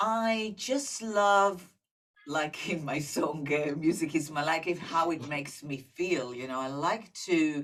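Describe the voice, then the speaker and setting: Very slowly, a woman with a very deep, low pitch speaks with lively intonation and an Israeli accent. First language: Hebrew. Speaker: singer-songwriter. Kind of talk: interview. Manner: halting.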